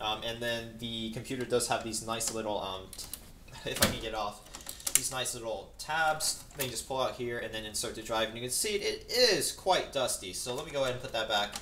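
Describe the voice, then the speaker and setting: Against noticeable background noise, a man's rather brisk speech shifts in pitch in a typical way. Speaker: hobbyist reviewer. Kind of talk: tutorial. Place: home room. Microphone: camera far.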